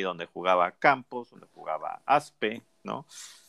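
Speaking with a Mexican accent, a man uses lively intonation. The sound is dry and close with no echo, on a very clean recording with a silent background. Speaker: football podcast host. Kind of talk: casual chat.

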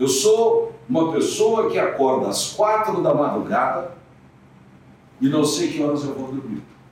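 Audible room echo and noticeable background noise surround a man who talks fairly slowly. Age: 70s. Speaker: radio host and newspaper owner. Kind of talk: interview.

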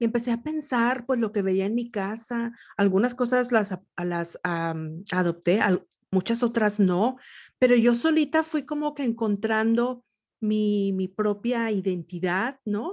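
A woman with a normal speaking voice talks at a fairly slow pace, her pitch fairly high and her intonation lively. The background is quiet. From northern Mexico, Nuevo León. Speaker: podcast host. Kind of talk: interview.

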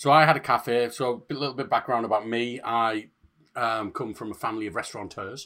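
The recording is very clean with a silent background. A man speaks at a moderate pace with a medium pitch and fairly even intonation. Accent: northeast English. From northeast England. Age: 30s. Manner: jokey, swearing.

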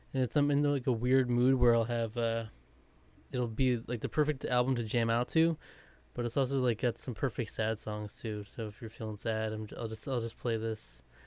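A man uses a normal speaking voice at medium pitch and a moderate pace. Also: fairly even intonation. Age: 20s. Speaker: podcast co-host. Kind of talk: casual chat.

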